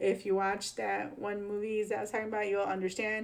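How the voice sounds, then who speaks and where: This voice has a Chicago accent. The pace is moderate. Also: woman. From Chicago, US Midwest. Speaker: political commentary YouTuber. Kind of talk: casual commentary on news clips. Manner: casual, filler-heavy.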